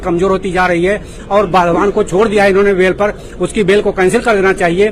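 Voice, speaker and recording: Over noticeable background noise, a man speaks with a high pitch and monotone, flat intonation. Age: 70s. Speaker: protesting homebuyer. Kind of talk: protest interview statement.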